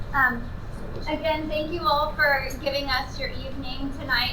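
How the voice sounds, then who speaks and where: Speaking with a high pitch, a woman keeps her intonation fairly even. Her pace is moderate, and room echo is audible. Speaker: city manager. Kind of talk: public presentation. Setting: community center meeting with audience. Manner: frequent filler ums. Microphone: no microphone.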